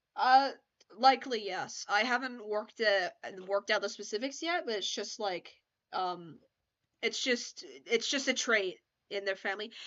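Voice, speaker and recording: A woman with a fairly high pitch talks at a moderate pace, her lively intonation broken by long, frequent pauses. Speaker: streamer. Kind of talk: casual chat. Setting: live stream. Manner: halting. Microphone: unstable internet connection.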